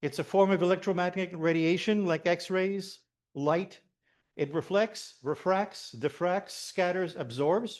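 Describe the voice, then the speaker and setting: In a Quebec accent, a man speaks loudly at a high pitch and a fairly slow pace, with ordinary pitch variation and a quiet background. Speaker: amateur radio operator and HF systems engineer. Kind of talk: technical presentation.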